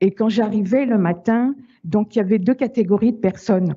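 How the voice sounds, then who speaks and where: Breathiness is somewhat present in this voice. The pitch shows ordinary variation. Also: woman. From Paris. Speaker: survivor of domestic violence. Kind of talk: testimony. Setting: video call. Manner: halting, many repetitions.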